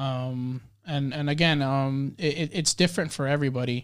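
An unremarkable speaking voice from a man with an American accent, fairly high in pitch, with fairly even intonation at a moderate pace, on a very clean recording with a silent background. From Dominican Republic-born, raised in the US. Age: 20s. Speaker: podcast guest, photographer. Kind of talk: casual chat.

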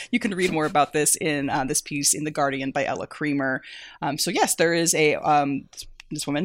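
At a fairly quick pace, a woman speaks in a very deep, low pitch with ordinary pitch variation. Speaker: managing editor of a books website. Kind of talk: casual chat. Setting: remote recording from the US West Coast.

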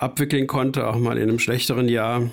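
A man's medium-pitched voice sounds out on a very clean recording with a silent background. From rural Bavaria. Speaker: concert promoter. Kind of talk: interview.

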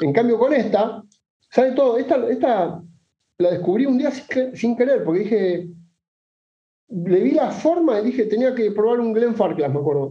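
Amid audible room echo, a man with an extremely high pitch uses lively intonation and takes long, frequent pauses. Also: moderate pace. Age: 40s. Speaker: whisky enthusiast guest. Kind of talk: casual chat.

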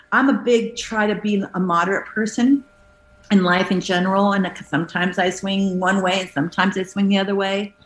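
Fairly quick speech with fairly even intonation comes through noticeable background noise. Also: woman, medium pitch for a woman. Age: 50s. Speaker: actress. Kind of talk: casual chat.

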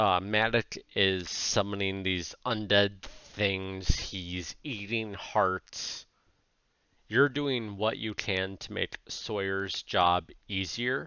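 A man speaks at a very slow pace in a put-on character voice, his pitch fairly low. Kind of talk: tabletop game narration. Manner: casual, joking, vivid.

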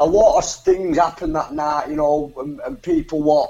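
A man talks with fairly even intonation at a fairly high pitch, noticeable background noise audible behind him. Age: 20s. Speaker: professional boxer. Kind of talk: interview. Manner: halting, repeats words.

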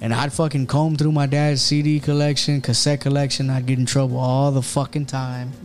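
Over music in the background, a man with an American accent speaks at a moderate pace in a fairly high voice, keeping very even loudness and hardly any pauses. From Houston, Texas. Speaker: streetwear brand owner and electrician. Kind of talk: casual chat. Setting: studio. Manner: animated.

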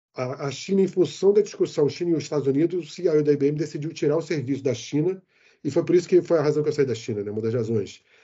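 The speech comes at a very fast pace with ordinary pitch variation. The voice is somewhat breathy. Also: man, fairly high pitch for a man. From Rio de Janeiro, Brazil. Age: 60s. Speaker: IT executive living abroad. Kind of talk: interview. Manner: animated.

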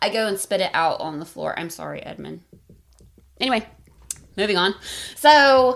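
With vocal fry and a medium pitch, a woman speaks with lively intonation, big swings in loudness and long, frequent pauses. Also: moderate pace. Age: 30s. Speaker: podcast host. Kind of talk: casual chat.

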